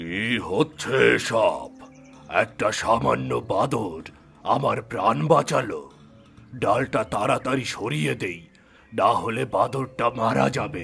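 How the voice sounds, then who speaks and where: A man puts on a cartoonish character voice at a medium pitch, speaking very slowly. Clear music plays in the background. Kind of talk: fairy tale cartoon. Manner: gentle, paternal.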